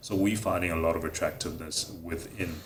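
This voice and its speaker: With audible room echo and noticeable background noise, a man talks at a fairly quick pace in a very deep, low pitch and fairly even intonation. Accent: South African. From South Africa, Durban. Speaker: investment manager. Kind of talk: interview. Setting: conference studio.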